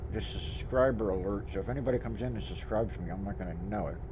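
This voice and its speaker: A man with an American accent, very fast pace and very wide pitch swings, plus audible room echo. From US East. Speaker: gaming streamer. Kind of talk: casual chat.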